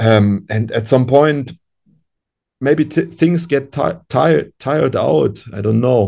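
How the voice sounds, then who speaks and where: A man's dark, mellow voice at a medium pitch, very slow, with lively intonation. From Europe. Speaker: musician. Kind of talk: interview. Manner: halting.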